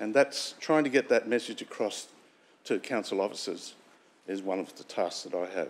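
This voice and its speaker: A man speaks at a moderate pace. His loudness swings widely. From Sunshine Coast hinterland, Queensland, Australia; Queensland, Australia. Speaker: local councillor. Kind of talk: formal speech. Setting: council chamber. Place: meeting room.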